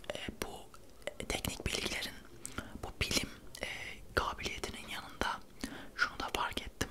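A man whispers at a fairly slow pace while noticeable background noise carries on. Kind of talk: casual talk to camera, book review.

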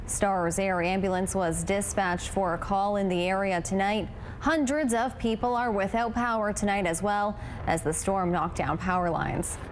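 A woman talks in a normal speaking voice at a medium pitch and a moderate pace. Her pitch varies in an ordinary way, and her loudness stays very even. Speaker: news anchor and reporter. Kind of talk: TV news report.

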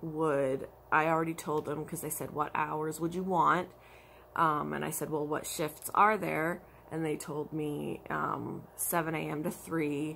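The delivery is monotone and flat, with vocal fry, at a moderate pace. Light background noise is present. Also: woman. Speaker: crafter vlogger. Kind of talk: casual vlog chat. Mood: frustrated about work hours. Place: home room. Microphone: phone near.

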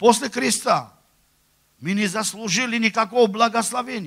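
A man's voice is raised and projected, pitched high for a man. The background is quiet. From Armenia. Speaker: preacher. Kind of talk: sermon. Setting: church. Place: church. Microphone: handheld.

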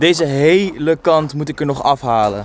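A man speaks with ordinary pitch variation in a dry recording that has no echo. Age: 20s. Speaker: YouTube vlogger; vlogger. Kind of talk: casual vlog. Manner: animated. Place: street. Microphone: phone near.

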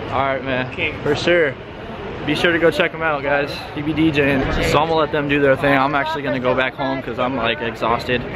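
A man rattles along at a very fast pace, the sound dry with no echo, while loud noise fills the background. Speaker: rideshare driver vlogger. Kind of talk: casual vlog chat. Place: street. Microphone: phone near.

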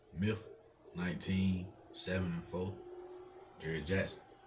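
Over noticeable background noise, a man talks with a somewhat breathy voice at a very deep, low pitch. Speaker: YouTube sports reaction creator. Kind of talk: live sports reaction commentary. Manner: casual, laughing, chatty. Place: home room. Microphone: webcam.

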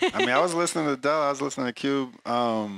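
A man's bright, sharp voice with an American accent against a quiet background. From San Antonio, Texas; Texas. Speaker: music producer and DJ; DJ. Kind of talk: interview. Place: hall. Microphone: handheld.

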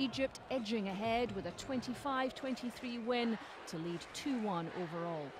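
The delivery is very slow and dramatic in tone. Noticeable background noise sits behind it. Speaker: sports highlights narrator. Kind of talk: scripted sports highlights voiceover. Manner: polished, dramatic build-up narration.

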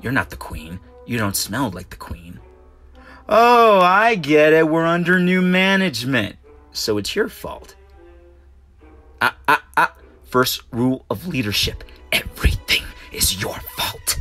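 A man's put-on character voice, fairly high and fairly slow, with long, frequent pauses and faint music in the background. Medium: dub. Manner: menacing, threatening.

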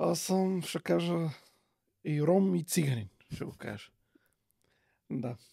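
A somewhat breathy man with a fairly high pitch and a dark, mellow tone, very wide pitch swings, a very slow pace and long, frequent pauses, in a dry sound with no echo. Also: quiet background. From Bulgaria, Vratsa region; Bulgaria. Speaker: parent outreach expert; podcast guest. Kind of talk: casual chat. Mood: animated, indignant at times. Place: studio. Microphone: studio mic.

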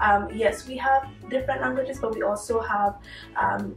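A woman talks at a fairly quick pace. Audible room echo and faint background music accompany her. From Dominica. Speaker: university student. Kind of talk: interview answer. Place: home room.

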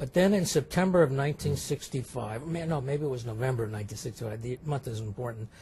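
With a plain, everyday voice, a man speaks in an American accent at medium pitch and a moderate pace, using lively intonation and hardly any pauses. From California, Sacramento. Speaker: neurologist. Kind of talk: interview. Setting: medical congress.

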